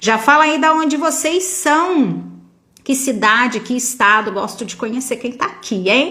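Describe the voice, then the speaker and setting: A woman's raised, projected voice, high-pitched and bright and sharp, with lively intonation, an animated tone and audible room echo. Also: fairly slow pace. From interior of São Paulo state, Brazil. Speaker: tarot reader and prosperity mentor. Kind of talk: live stream talk. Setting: live stream on camera.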